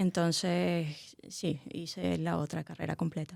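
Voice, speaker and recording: A woman with a Venezuelan accent on a very clean recording with a silent background. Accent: Venezuelan, could pass as Canarian. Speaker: anthropology researcher. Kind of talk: casual interview.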